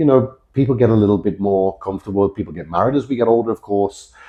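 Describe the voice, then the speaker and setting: Speaking at a very fast pace, a man with a British accent and a fairly low pitch shows ordinary pitch variation. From Britain. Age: 40s. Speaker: fitness coach. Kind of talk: casual chat.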